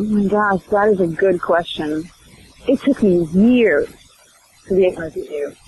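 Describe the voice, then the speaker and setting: The speaker moves at a fairly slow pace with long, frequent pauses over noticeable background noise. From Sweden. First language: Swedish. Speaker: actress. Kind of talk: interview.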